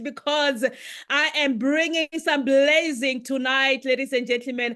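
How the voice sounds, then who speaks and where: A woman speaks loudly in a high, animated voice at a moderate pace. The background is quiet. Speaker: business presenter. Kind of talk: sales pitch.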